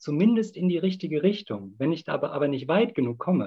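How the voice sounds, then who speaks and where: A fairly high-pitched male voice with vocal fry and very wide pitch swings. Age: 30s. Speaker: climate activist. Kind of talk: debate.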